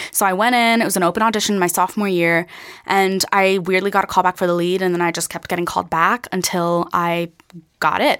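This woman has an unremarkable speaking voice, with an American accent, medium pitch, fairly even intonation and a fairly quick pace. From Pennsylvania. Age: 20s. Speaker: actor and singer. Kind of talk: interview.

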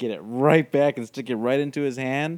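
An unremarkable speaking voice from a man at medium pitch, with fairly even intonation at a moderate pace. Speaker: podcast co-host. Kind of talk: casual chat.

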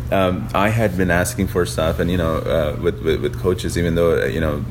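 Noticeable noise sits behind a man's very deep, low voice. He keeps a moderate pace. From Pakistan. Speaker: tech app founder. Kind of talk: interview. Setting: hotel lounge. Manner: halting, many fillers.

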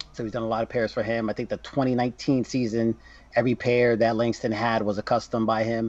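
A man with an American accent, medium pitch, a normal speaking voice, and a moderate pace. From New Jersey. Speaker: sneaker collector and influencer. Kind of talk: casual interview chat.

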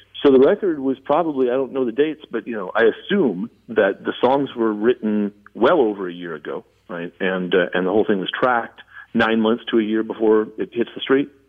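In an ordinary speaking voice, a man with an American accent talks at a fairly quick pace and medium pitch with lively intonation. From Southern California. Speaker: musician. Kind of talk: casual chat.

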